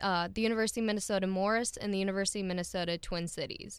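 A woman speaks with an Upper Midwest accent at a medium pitch and fairly even intonation. The recording is very clean, with a silent background. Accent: Upper Midwest American. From South Dakota, Milbank. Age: 20s. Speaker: veterinary student. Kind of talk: interview. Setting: studio.

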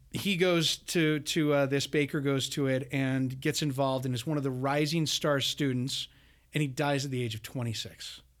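A man with an ordinary speaking voice, fairly high in pitch, talks at a moderate pace with fairly even intonation in a very clean recording with a silent background. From Utah, Bountiful. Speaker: podcast host, art scholar. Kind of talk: interview.

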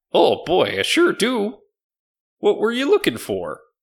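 A man performs a put-on character voice at an extremely high pitch. The recording is very clean, with a silent background. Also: fairly slow pace. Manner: cheerful, eager.

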